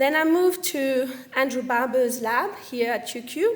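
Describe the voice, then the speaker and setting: A woman speaks in a French accent. Her voice is high-pitched. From French Caribbean. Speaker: medical science liaison, former researcher. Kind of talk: career talk to audience.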